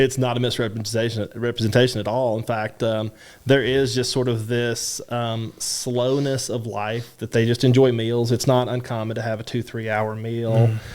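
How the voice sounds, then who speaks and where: With a Kentucky accent, a man speaks at a medium pitch in monotone, flat intonation, with hardly any pauses. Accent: Kentucky drawl. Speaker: university French department chair. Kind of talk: interview answer.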